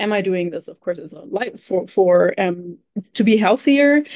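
A woman with a German accent speaks at a medium pitch. She keeps a fairly slow pace. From Germany. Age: 30s. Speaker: nutrition coach. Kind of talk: casual chat.

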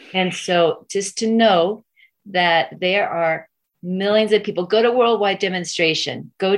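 A woman with a normal speaking voice, medium in pitch, with fairly even intonation and a fairly slow pace. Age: 50s. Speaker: parent rights activist. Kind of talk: interview.

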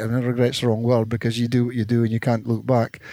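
A man speaks with a Scottish accent. His tone is dark and mellow. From north of Scotland. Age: 60s. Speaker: former footballer and coach. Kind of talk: interview. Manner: halting.

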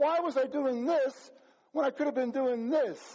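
An extremely high-pitched male voice. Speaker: pastor. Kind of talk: sermon. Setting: church with congregation.

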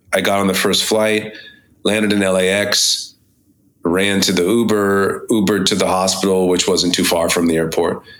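The speaker has an ordinary speaking voice and fairly even intonation. The pace is moderate. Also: man. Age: 40s. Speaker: singer-songwriter. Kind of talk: casual chat.

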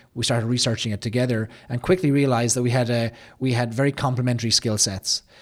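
This man talks at a very fast pace with an Irish accent. His intonation stays fairly even. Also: medium pitch for a man. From Ireland. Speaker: business founder. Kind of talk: interview. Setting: studio.

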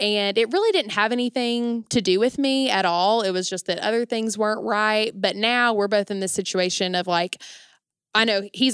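A woman with a plain, everyday voice speaks at a fairly quick pace and ordinary pitch variation, in a dry, close sound with no echo. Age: 20s. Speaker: university event coordinator. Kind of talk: casual interview chat.

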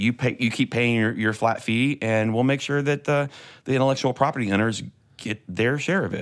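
In a very clean recording with a silent background, a man uses a plain, everyday voice at a fairly quick pace, with medium pitch and ordinary pitch variation. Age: 40s. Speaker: church media tech and YouTuber. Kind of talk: casual chat.

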